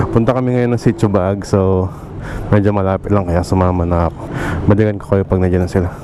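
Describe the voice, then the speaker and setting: A man with a very deep, low pitch speaks very fast with fairly even intonation. Noticeable background noise runs underneath. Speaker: motovlogger. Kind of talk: vlog narration while riding. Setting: outdoors on a motorcycle.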